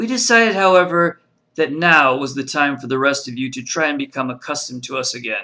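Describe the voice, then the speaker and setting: A put-on character voice goes at a fairly quick pace on a very clean recording with a silent background. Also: man, fairly high pitch for a man. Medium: read story.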